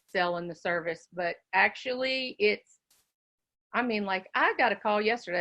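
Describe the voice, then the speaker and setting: A woman with a West Virginia accent. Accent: West Virginia twang. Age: 60s. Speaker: educational consultant, business owner. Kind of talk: casual business talk on a live forum. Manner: animated, chatty.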